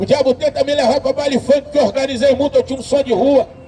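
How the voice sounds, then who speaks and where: A man speaks at a fairly quick pace in an extremely high pitch with monotone, flat intonation over noticeable background noise. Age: 60s. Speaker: street preacher. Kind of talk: sermon.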